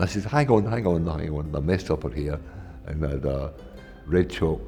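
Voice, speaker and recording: A Scottish accent at a fairly quick pace, with music in the background. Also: man. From Paisley, Scotland. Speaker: artist. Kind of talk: interview answer.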